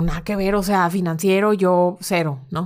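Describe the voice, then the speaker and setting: A normal speaking voice with fairly even intonation on a very clean recording, silent background. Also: woman. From Monterrey, northern Mexico. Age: 20s. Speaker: bank currency trader. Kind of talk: casual interview chat.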